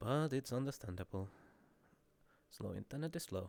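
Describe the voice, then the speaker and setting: A man speaks at a moderate pace in a Finnish accent, his intonation lively. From Finland. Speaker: streamer. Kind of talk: casual chat. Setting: live stream.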